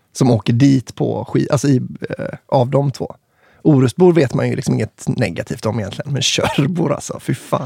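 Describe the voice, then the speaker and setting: A man with an ordinary speaking voice talks at a moderate pace, medium in pitch with ordinary pitch variation. The sound is dry and close, with no echo. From Kungälv area near Marstrand, west Sweden. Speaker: podcast host, musician. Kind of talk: casual chat.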